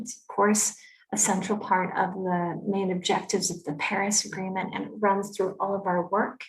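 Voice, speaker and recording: A somewhat breathy woman's voice with a North American accent and monotone, flat intonation. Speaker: climate policy expert. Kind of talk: conference presentation.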